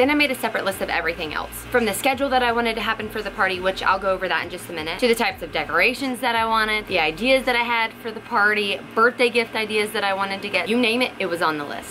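A woman talking at a very fast pace with hardly any pauses and ordinary pitch variation, faint music behind her. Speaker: parent vlogger. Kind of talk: casual vlog tutorial.

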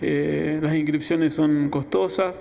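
There is light background noise behind a man's speaking voice. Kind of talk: interview answer. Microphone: handheld.

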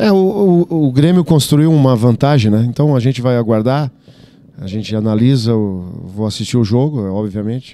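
The man's intonation is lively, and the sound is dry with no echo. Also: moderate pace. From Brazil, Santa Catarina. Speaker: football coach. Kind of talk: press conference. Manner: halting, many fillers and repetitions. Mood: calm, measured. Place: meeting room. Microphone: handheld.

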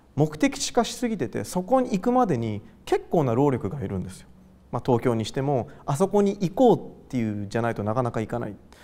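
A man's fairly high pitch with very wide pitch swings, a dark, mellow tone and a fairly quick pace. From Japan, Gifu (Hida-Takayama), later Tokyo; Japan. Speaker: artist. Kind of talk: interview. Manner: casual, hesitant with fillers. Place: hall. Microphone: lapel.

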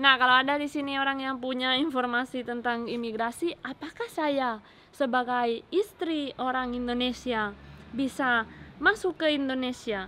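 A raised, projected voice with a bright, sharp tone moves at a moderate pace. Light background noise runs underneath. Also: woman. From Spain, Catalonia. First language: Spanish (speaking Indonesian). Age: 20s. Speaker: vlogger. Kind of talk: casual chat. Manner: halting. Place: garden. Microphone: phone near.

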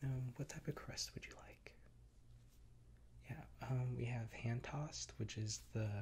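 The voice is soft-spoken with a gentle tone. The pace is fairly slow. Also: man. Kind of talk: comedic role-play of customer service call. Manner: soft-spoken, gentle ASMR murmur. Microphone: earbuds.

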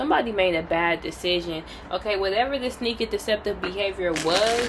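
A woman's voice with ordinary pitch variation amid noticeable background noise. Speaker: tarot reader. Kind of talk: tarot reading commentary. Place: home room. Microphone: phone near.

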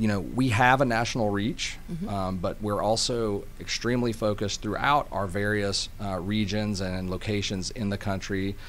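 A man's ordinary speaking voice, fairly low in pitch, with ordinary pitch variation, hardly any pauses and light background noise. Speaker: guest. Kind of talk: interview answer. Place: studio. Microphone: studio mic.

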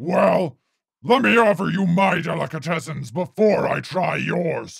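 Using a put-on character voice pitched high, a man talks at a fairly slow pace. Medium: read story. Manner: hollering, menacing.

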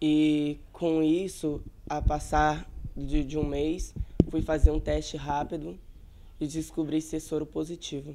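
A man speaks at a very slow pace with monotone, flat intonation and a fairly high pitch. Noticeable background noise runs underneath. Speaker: person living with HIV; interviewee. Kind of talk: interview testimony. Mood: somber, reflective. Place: home room. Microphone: handheld.

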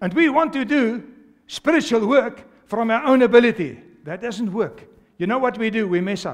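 Delivered at a moderate pace against a quiet background, the speech has an animated tone and lively intonation. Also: man, extremely high pitch for a man. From South Africa. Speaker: pastor. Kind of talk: sermon to a live congregation. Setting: church with congregation. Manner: animated, exhorting, call-and-response; fervent, repetitive, urgent preaching cadence. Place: church. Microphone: headset.

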